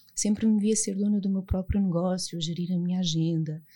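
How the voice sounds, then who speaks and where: In a European Portuguese accent, a woman speaks with a medium pitch, ordinary pitch variation and a dark, mellow, somewhat breathy tone. The recording is very clean, with a silent background. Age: 30s. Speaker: clinical psychologist and author. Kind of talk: podcast interview, personal testimony.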